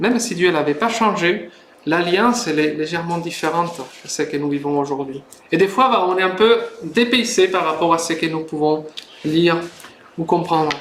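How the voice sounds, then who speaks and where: A man speaks in a high pitch with long, frequent pauses. Audible room echo and noticeable background noise are present. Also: ordinary pitch variation, moderate pace. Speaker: preacher, Bible institute student. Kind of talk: sermon. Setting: church service, livestreamed. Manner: hesitant, many fillers.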